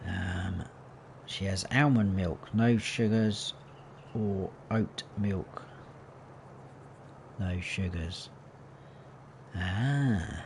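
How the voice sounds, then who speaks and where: A man with a southern English accent, fairly low in pitch with ordinary pitch variation, a relaxed tone, a very slow pace and long, frequent pauses. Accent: southern English, taken for a Londoner. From southern England, Hampshire. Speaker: gaming livestreamer. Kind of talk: casual live gameplay commentary. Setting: livestream. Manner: relaxed, chatty.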